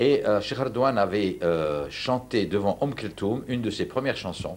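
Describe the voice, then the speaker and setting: The voice has vocal fry and very wide pitch swings. The pace is moderate. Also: man. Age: 60s. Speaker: university professor and Andalusian music specialist. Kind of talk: TV interview. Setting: at home. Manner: halting, many repetitions.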